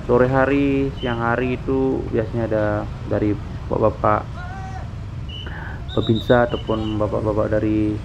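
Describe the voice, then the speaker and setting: A man's fairly even intonation is heard through noticeable background noise. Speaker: motovlogger. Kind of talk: casual vlog commentary. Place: motorbike. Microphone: helmet.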